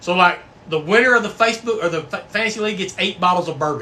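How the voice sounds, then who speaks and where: A man with a Texan accent speaks in a raised, projected voice at a high pitch with lively intonation. Noticeable background noise is present. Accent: Texan US Southern. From Texas. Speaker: bourbon livestream host. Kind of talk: casual livestream chat. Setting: live stream. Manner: animated.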